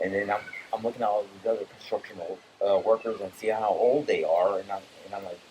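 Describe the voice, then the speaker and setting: A man talks at a very fast pace with long, frequent pauses, over noticeable background noise. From Brazil, later New York and South Florida. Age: 50s. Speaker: war veteran. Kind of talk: casual chat. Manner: halting, many repeats and restarts.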